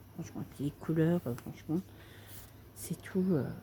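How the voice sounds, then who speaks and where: A soft-spoken woman's fairly low voice with vocal fry, dark and mellow in tone, at a fairly slow pace. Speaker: craft video creator. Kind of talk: casual tutorial chat.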